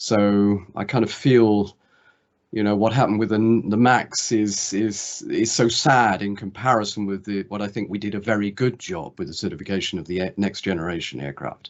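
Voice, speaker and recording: With a British accent, a man speaks at a moderate pace in a fairly low pitch with ordinary pitch variation. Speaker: former aviation safety regulator. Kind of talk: video call introduction.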